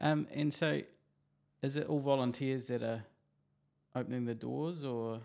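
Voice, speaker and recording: A man with a New Zealand accent talks fairly slowly at a medium pitch, leaving long, frequent pauses. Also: ordinary pitch variation. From New Zealand, Christchurch. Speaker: podcast host, real estate agent. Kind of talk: interview; podcast intro.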